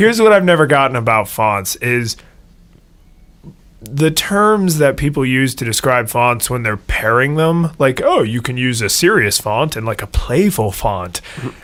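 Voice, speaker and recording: At a moderate pace, a man with an American accent and medium pitch moves through very wide pitch swings. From United States. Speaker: podcast co-host. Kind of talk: casual chat.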